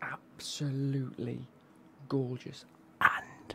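Whispering, a man goes at a very slow pace. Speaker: football kit unboxing creator. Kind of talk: casual vlog chat. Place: home room. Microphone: studio mic.

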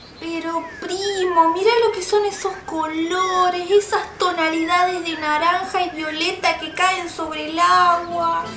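This put-on character voice moves at a slow pace with few pauses and little pitch movement. Background noise is clearly audible. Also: woman, extremely high pitch for a woman.

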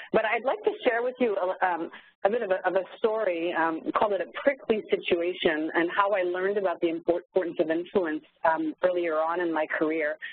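A woman with a French Canadian accent talks at a fairly quick pace, with a medium pitch and ordinary pitch variation. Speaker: corporate training facilitator. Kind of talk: webinar presentation. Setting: online webinar call.

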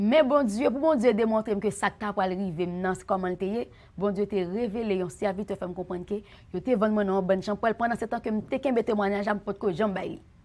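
A woman talks at a moderate pace with a Haitian accent. Her pitch is medium, with ordinary pitch variation. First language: Haitian Creole (speaking French). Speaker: church member giving testimony; guest. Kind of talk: testimony. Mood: earnest religious testimony. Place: studio.

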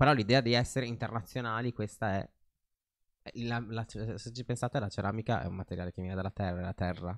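With a quiet background, a man speaks at a very fast pace yet with long, frequent pauses and fairly even intonation. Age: young. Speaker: fashion designer; podcast guest. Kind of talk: casual chat. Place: studio. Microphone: studio mic.

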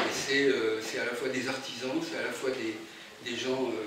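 Loud background noise and audible room echo surround a man speaking. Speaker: speaker. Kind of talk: informal presentation to audience. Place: hall. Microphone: camera far.

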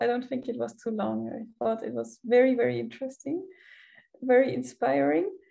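Speaking with a German accent, a woman keeps a moderate pace. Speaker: student event organizer and moderator. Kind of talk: event moderation. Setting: video call.

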